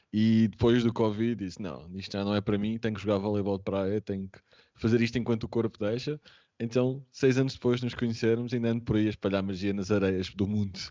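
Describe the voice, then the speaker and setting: Speaking with fairly even intonation, a man uses a fairly low pitch. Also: fairly quick pace. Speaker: remote work specialist. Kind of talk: casual interview.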